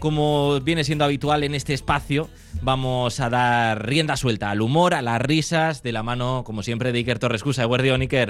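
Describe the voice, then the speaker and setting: This man has a plain, everyday voice at a medium pitch, with ordinary pitch variation, a moderate pace and hardly any pauses. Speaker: radio host. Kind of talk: radio interview.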